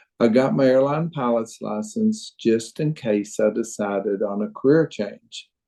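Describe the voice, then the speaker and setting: Speaking with a Southern US accent, a man uses a dark, mellow tone at medium pitch, fairly slow in pace, with ordinary pitch variation. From Arkansas. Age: 70s. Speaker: retired dentist and crossbow hunter. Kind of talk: podcast interview.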